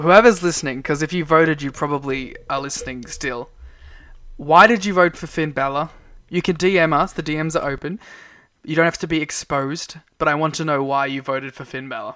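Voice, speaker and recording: A man speaks at a fairly quick pace with an Australian accent, his bright, sharp tone sitting at a fairly high pitch and moving with ordinary pitch variation, all on a very clean recording with a silent background. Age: young. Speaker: wrestling podcast co-host. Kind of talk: casual chat. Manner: soft-spoken.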